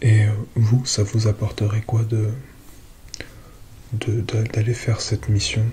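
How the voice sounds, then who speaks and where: A soft-spoken man with a medium pitch talks at a very slow pace with long, frequent pauses, his calm, gentle tone held to a monotone, flat intonation over noticeable background noise. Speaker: ASMR content creator. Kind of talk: ASMR roleplay as a space-agency psychologist speaking to a patient. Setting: close-mic ASMR recording, relaxation. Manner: soft-spoken, calm, gentle.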